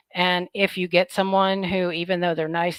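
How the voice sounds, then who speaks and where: With an ordinary speaking voice, a woman talks at a moderate pace in a medium pitch, the sound dry and close with no echo. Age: 50s. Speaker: product reviewer, vlogger. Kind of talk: casual vlog talk to viewers. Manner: chatty, informal.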